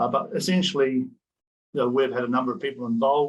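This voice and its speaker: Delivered at a very fast pace with ordinary pitch variation, the voice has a New Zealand accent. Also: man. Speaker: professor. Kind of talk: conference presentation.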